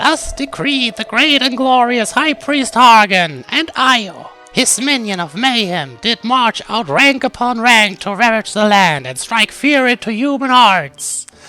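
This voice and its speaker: Faint music plays behind a man who puts on an extremely high-pitched character voice at a fairly slow pace. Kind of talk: reading game dialogue aloud in character.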